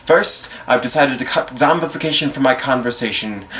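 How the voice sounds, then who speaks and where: At a moderate pace, a man talks in a medium pitch with ordinary pitch variation over noticeable background noise. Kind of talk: slam poetry performance.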